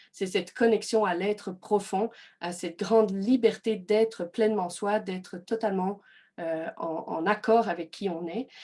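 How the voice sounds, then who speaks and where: A woman at a medium pitch, with a slight Belgian accent, a dark, mellow tone, fairly even intonation and a fairly slow pace against a quiet background. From Belgium. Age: 30s. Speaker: personal development coach. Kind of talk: online workshop presentation. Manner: hesitant, many fillers.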